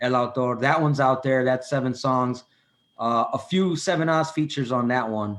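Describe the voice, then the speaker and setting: Against a quiet background, a man with a Chicago accent speaks at a moderate pace with very even loudness and ordinary pitch variation. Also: medium pitch for a man. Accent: Chicago American English. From Chicago, US. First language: Spanish. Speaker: rapper. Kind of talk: casual chat. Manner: halting.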